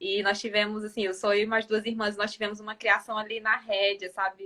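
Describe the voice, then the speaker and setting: Here a woman speaks in a northeastern Brazilian accent. Her fairly high voice has a bright, sharp tone. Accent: northeastern Brazilian, noticeable. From Northeast Brazil, Piauí. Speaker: financial organization expert. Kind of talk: live-stream interview chat.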